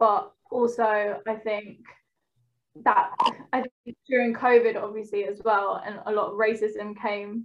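A woman speaks in a fairly high pitch with monotone, flat intonation. Her loudness swings widely. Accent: London. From East London, England. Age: 20s. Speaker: trainee clinical psychologist. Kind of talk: casual chat.

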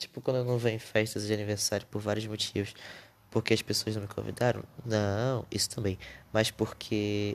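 Speaking at a moderate pace, a man with a fairly low pitch talks in a monotone, flat intonation. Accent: Brazilian. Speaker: podcaster. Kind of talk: casual monologue. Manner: unscripted, hesitant.

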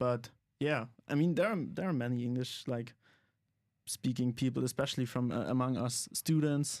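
At a moderate pace, a man with a German accent speaks at medium pitch with fairly even intonation in a very clean recording with a silent background. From Germany. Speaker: comedian and student. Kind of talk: podcast interview. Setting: studio. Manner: halting.

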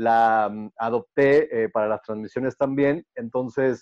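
Delivered at a fairly slow pace with fairly even intonation, the voice sounds dry and close, with no echo. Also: man. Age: 30s. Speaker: baseball play-by-play announcer and sports TV presenter. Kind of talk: casual interview. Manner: halting, many repeated words and fillers.

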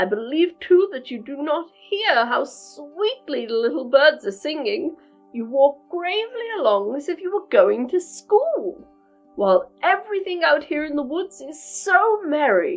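A woman performs a put-on character voice at a moderate pace while faint music plays in the background. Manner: sly, coaxing.

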